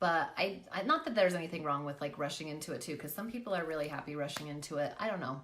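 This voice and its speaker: Through audible room echo and noticeable background noise, a woman talks at a very fast pace in an animated tone with lively intonation. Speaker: makeup live streamer and product seller. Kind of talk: casual livestream chat. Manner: animated, fast.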